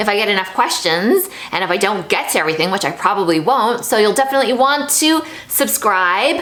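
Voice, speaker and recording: In a Canadian accent, a woman with a fairly high voice talks at a fairly quick pace, her tone animated and her intonation lively, amid noticeable background noise and audible room echo. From Canada, Toronto. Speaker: YouTuber. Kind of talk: casual vlog monologue. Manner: chatty, animated.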